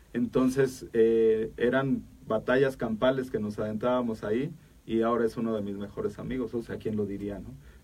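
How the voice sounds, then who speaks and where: In a monotone, flat intonation, a man speaks at a moderate pace with a medium pitch. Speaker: taekwondo coach and academic director. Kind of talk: interview. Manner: halting.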